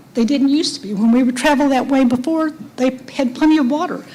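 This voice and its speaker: A high-pitched woman with an American accent and ordinary pitch variation, over noticeable background noise. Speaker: resident speaking at public hearing. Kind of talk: public comment. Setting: public meeting, at microphone. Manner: soft-spoken; halting.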